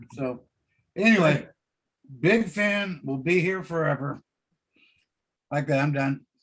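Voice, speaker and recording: At a fairly slow pace, a man with a fairly high voice and ordinary pitch variation leaves long, frequent pauses. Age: 60s. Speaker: aerospace engineer. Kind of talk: casual chat. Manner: halting, hesitant.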